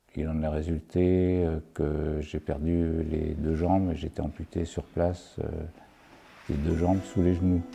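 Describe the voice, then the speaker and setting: A man speaks in a very deep, low voice with monotone, flat intonation. His pace is fairly slow, with music in the background. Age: 60s. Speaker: retired geologist, documentary subject. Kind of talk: documentary interview. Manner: halting, many hesitations.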